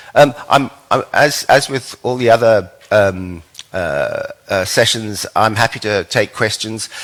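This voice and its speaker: His pitch moves in an ordinary way as a man talks. Background noise is noticeable throughout. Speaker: lecturer presenting an ontology to a summer school. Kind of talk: lecture. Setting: stage with audience. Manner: fast; hesitant, many fillers.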